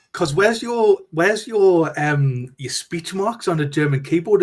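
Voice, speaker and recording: A man speaks in a Geordie accent with a high pitch. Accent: broad Geordie. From northeast England, Newcastle. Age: 40s. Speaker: guest. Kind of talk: casual chat.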